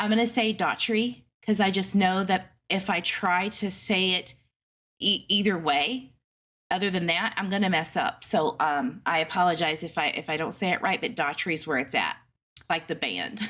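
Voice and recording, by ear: On a very clean recording with a silent background, a woman with an East Texas accent speaks at a moderate pace and medium pitch, with ordinary pitch variation and a bright, sharp tone. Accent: East Texas Southern.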